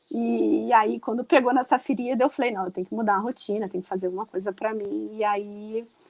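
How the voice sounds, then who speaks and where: A woman speaks fairly quickly at a fairly high pitch, with hardly any pauses and ordinary pitch variation. The sound is dry and close, with no echo. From Rio de Janeiro, Brazil. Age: 40s. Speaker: runner and online shop owner. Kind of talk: podcast interview.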